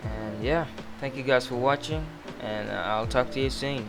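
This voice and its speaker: Music plays in the background as a man with a non-native accent speaks at a fairly slow pace. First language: not English. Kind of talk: casual screen-recording tech tutorial.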